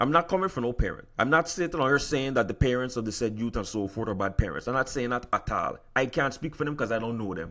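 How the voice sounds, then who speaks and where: An American accent comes through in a bright, sharp, animated tone at a fairly quick pace. The recording is very clean, with a silent background. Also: man. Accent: Virgin Islands accent, slips out. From US Virgin Islands. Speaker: podcast host. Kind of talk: solo podcast commentary. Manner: animated, repetitive stammering.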